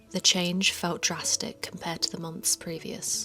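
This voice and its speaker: Over music in the background, a woman with a British accent and a fairly low pitch speaks at a fairly slow pace in a calm, soothing tone with ordinary pitch variation. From United Kingdom. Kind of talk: bedtime story.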